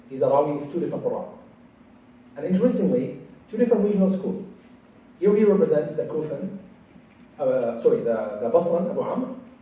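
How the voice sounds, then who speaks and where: High-pitched male speech at a fairly quick pace, with very wide pitch swings, big swings in loudness, long, frequent pauses and audible room echo. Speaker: Quran studies teacher. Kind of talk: lecture. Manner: halting.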